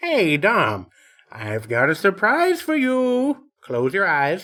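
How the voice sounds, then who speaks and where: The speech moves very slowly. It is a put-on character voice pitched in the middle. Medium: read story. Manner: genial, measured.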